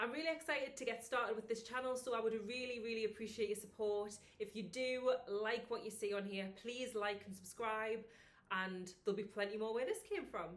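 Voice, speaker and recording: The speaker talks at a fairly quick pace with ordinary pitch variation in a northern English accent. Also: woman, fairly high pitch for a woman. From northern England. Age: 20s. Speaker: vlogger and personal trainer. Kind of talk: casual vlog chat.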